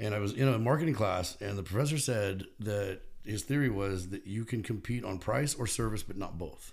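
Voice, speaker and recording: With an American accent, a man talks at a moderate pace in a fairly low, somewhat breathy voice with ordinary pitch variation and hardly any pauses, on a very clean recording with a silent background. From California (Bakersfield). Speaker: supplement store owner. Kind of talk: casual chat.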